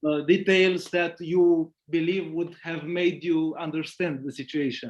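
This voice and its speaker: With a non-native accent and a high pitch for a man, he talks at a fairly slow pace in a monotone, flat intonation. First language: not English. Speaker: meeting participant. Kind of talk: question in group meeting. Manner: halting.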